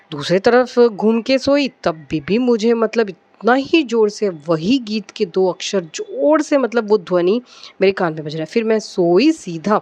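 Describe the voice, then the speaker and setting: Lively intonation marks a woman's fairly high voice. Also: hardly any pauses. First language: Malayalam (speaking Hindi). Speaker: devotional vlogger. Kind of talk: casual devotional talk, personal anecdote. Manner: hesitant, many fillers.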